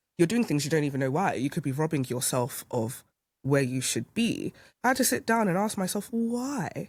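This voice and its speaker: Somewhat breathy and fairly low in pitch, a woman speaks at a moderate pace with very wide pitch swings. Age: 30s. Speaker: podcast guest sharing personal story. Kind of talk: casual conversation. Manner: halting, frequent self-repetition.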